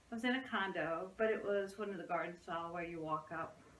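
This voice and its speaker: Audible room echo and noticeable background noise are present in the clip. The woman talks at a medium pitch. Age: 60s. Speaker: psychotherapist. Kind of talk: casual interview chat.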